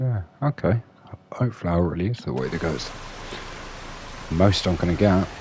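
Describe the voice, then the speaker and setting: Over noticeable background noise, a man with a very deep, low pitch and a relaxed tone speaks at a moderate pace with lively intonation and long, frequent pauses. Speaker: gaming streamer. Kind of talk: live gameplay commentary. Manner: relaxed, hesitant with fillers.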